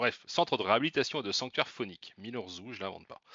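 A man with a medium pitch talks with lively intonation and keeps up a fairly quick pace. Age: 40s. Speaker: podcast co-host, board game reviewer. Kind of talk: casual chat.

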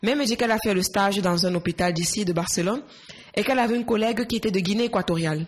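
A woman talks at a very fast pace with very even loudness. Her medium pitch shows ordinary variation. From Cameroon, Yaoundé. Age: 20s. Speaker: nurse. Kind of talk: interview.

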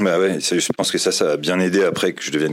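With a very deep, low pitch and fairly even intonation, a man talks at a moderate pace. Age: 30s. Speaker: board game designer. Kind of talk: casual interview.

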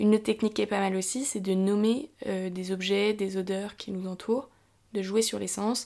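Recorded very cleanly against a silent background, a woman at medium pitch talks at a moderate pace in a dark, mellow tone with monotone, flat intonation. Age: 20s. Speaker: podcast host sharing mental health experience. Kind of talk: personal testimony and explanation. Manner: casual with frequent hesitations.

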